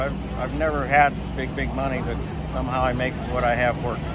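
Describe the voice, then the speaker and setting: A man speaks at a very fast pace over loud background noise. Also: dry sound with no echo. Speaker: NASCAR truck racing driver. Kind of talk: interview answer. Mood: relaxed, reminiscing. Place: stadium. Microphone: phone near.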